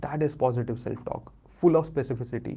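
Vocal fry and a dark, mellow tone mark a man's voice, which has ordinary pitch variation. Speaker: podcast host, self-help coach. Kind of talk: motivational monologue. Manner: animated.

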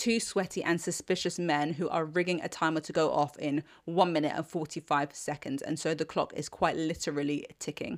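On a very clean recording with a silent background, a woman with a British accent speaks fairly quickly at a fairly low pitch, her intonation fairly even. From Britain. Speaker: TV review podcast host. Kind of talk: solo scripted review monologue.

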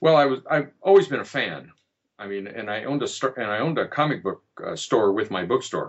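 With an American accent and a plain, everyday voice, the speaker moves at a fairly quick pace with lively intonation. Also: man, medium pitch for a man. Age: 60s. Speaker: fiction writer. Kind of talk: interview.

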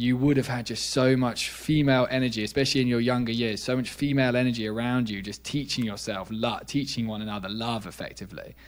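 A man with a British accent at a very fast pace, medium in pitch with fairly even intonation. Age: 20s. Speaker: neuroscientist. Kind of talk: casual interview.

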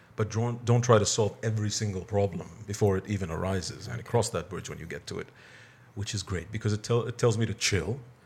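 Fairly even intonation and a somewhat breathy quality mark this voice as it moves at a fairly quick pace. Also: man, fairly low pitch for a man. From Bahrain. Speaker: cafe owner and perfumer. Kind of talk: casual interview.

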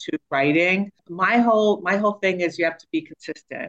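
The sound is dry and close, with no echo. A woman talks at a moderate pace with ordinary pitch variation. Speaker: author and brand consultant. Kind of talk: casual interview. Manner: talkative.

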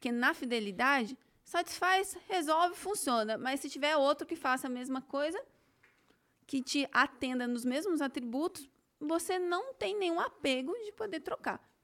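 Over a silent background on a very clean recording, a woman with a high-pitched voice speaks at a moderate pace with lively intonation. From Campinas, São Paulo state, Brazil. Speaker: business CEO and author. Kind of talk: podcast interview, conversational. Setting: studio.

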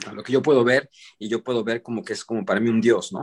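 A man speaks fairly quickly. The recording sounds dry and close, without any echo. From Mexican-American, raised in US and Mexico. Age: 40s. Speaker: vegan chef. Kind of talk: casual interview. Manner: halting, repeats words.

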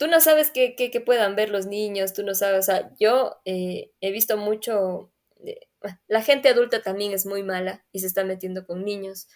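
The voice moves at a moderate pace, with big swings in loudness. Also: woman, medium pitch for a woman, ordinary pitch variation. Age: 20s. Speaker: podcast co-host. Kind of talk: casual chat.

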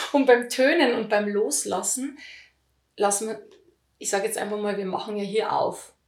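A woman speaks at a fairly high pitch, leaving long, frequent pauses. Audible room echo surrounds her voice. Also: ordinary pitch variation, moderate pace. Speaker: voice healing teacher. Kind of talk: interview.

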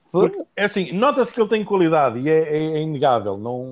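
A man speaks at a fairly quick pace in a fairly high voice, swinging very widely in pitch. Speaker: football podcast host. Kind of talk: casual chat.

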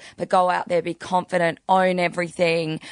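A moderate pace with an Australian accent, the sound dry and close with no echo. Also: woman. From Adelaide, Australia. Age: 30s. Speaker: podcast guest. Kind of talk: casual chat.

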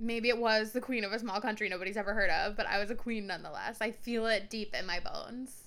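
With a bright, sharp tone and fairly high pitch, a woman speaks at a fairly quick pace. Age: 20s. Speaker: podcast co-host. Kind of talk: casual chat. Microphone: echo on recording.

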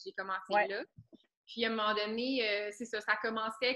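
A woman with a Quebec accent speaks at a moderate pace in a fairly high, monotone voice with flat intonation. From Quebec, Laurentians. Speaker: student. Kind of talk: casual interview.

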